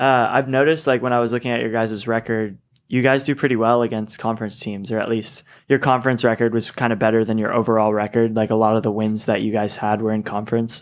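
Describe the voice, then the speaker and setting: In a very clean recording with a silent background, a man with an American accent speaks very fast at a medium pitch in a monotone with flat intonation. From Seattle. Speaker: college sports radio co-host. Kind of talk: casual sports interview. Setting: studio.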